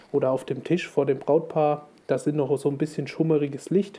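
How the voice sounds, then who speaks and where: A man speaks at a moderate pace in a fairly high voice. His tone is dark and mellow. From Thuringia, Germany. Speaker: wedding photographer. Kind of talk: casual chat. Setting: remote recording from in-laws' empty apartment.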